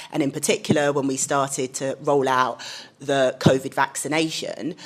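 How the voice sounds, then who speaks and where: In a London accent, a woman speaks with a very deep, low pitch. Her intonation is monotone and flat. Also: moderate pace. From London, England. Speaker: communications director. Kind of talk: panel discussion.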